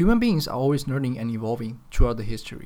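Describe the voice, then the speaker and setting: In a Chinese accent, a man speaks with a serious tone, a dark, mellow tone and lively intonation. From China, Chengdu (Sichuan). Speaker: podcaster. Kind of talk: solo podcast monologue.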